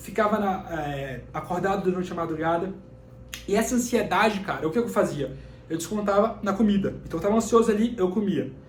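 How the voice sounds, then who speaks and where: A man with a high voice talks at a fairly quick pace with ordinary pitch variation. Audible room echo and noticeable background noise come through. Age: 20s. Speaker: personal development YouTuber. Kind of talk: personal vlog talk to camera. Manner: fast; casual.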